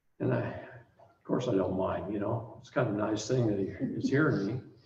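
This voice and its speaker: There is audible room echo. A man talks at a moderate pace. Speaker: seminar teacher. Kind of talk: seminar lecture with storytelling.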